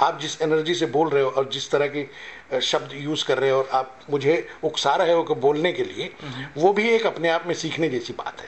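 This man talks at a moderate pace with hardly any pauses. His pitch is fairly high. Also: ordinary pitch variation. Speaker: actor. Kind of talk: interview answer. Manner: soft-spoken. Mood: calm, humble, reflective. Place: hall. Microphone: handheld.

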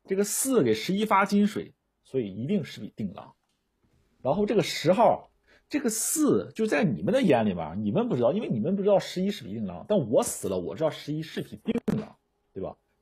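Speaking at a fairly quick pace, a man is heard over a quiet background. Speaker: werewolf game player. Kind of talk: game discussion. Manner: animated. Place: home room.

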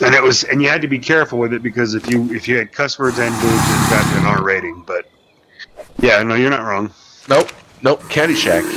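Loud background noise sits behind a man speaking at a fairly quick pace. His pitch is medium, with ordinary pitch variation. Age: 30s. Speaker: gamer playing with friends. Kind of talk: casual chat.

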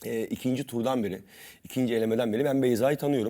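At a fairly quick pace, a man with a dark, mellow tone and a medium pitch speaks with fairly even intonation on a very clean recording with a silent background. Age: 30s. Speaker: cooking competition champion. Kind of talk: TV talk show interview.

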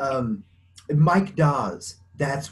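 A man with an American accent sounds somewhat breathy. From US West, small town in Colorado. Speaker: blind woodworker; interview guest. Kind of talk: interview. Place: home room. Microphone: video call.

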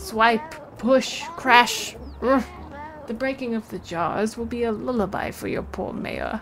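A put-on character voice, female-sounding and fairly high for a woman, carries a pompous tone with hardly any pauses over clear background noise. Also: fairly slow pace. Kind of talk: comic overacting. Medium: game stream. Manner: pompous, sleepy, grandiose.

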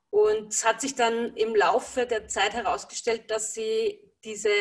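Over a quiet background, a woman talks in a fairly high voice. She goes at a fairly slow pace with ordinary pitch variation. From Lower Austria. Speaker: energy healer working with horses; interviewee. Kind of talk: interview. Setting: video call. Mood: calm, warm. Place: home room. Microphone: video call.

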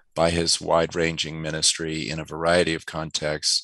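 Very deep and low in pitch, a man speaks in a flat monotone with a bright, sharp tone and dry sound with no echo. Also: quiet background. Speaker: remote interview guest. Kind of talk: interview answer. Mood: warm, reflective. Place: home room. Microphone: headset.

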